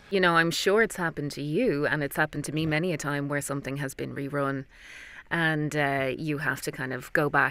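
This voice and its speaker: A woman with an Irish accent, very deep and low in pitch, bright and sharp in tone, at a fairly quick pace with fairly even intonation, in a dry sound with no echo. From Ireland. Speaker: voice actor. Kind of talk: interview answer. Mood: earnest, thoughtful. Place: booth. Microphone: studio mic.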